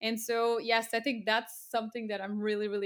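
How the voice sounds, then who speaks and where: A woman with a Portuguese accent at a fairly quick pace, monotone and flat in intonation, in a very clean recording against a silent background. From Portugal. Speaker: freelance digital marketer. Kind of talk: interview.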